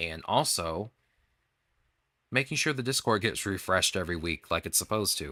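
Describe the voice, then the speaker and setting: On a very clean recording with a silent background, a man with a fairly low pitch and a bright, sharp tone speaks at a moderate pace, swinging his pitch very widely and taking long, frequent pauses. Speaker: gaming streamer. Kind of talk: casual stream outro chat. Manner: rambling, filler-heavy.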